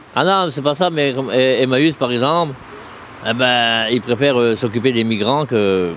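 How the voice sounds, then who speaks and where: Against noticeable background noise, a man speaks at a medium pitch with ordinary pitch variation. His pace is fairly slow, broken by long, frequent pauses. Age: 60s. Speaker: homeless man. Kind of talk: interview. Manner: halting.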